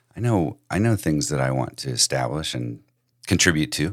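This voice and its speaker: A man speaks fairly quickly in a very deep, low voice with vocal fry. His intonation is lively, and the recording is very clean with a silent background. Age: 50s. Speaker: podcast host and financial advisor. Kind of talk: casual chat.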